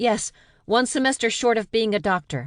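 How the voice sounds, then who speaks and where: In a put-on character voice, a woman speaks at a moderate pace with a fairly high pitch and lively intonation over a quiet background. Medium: read story.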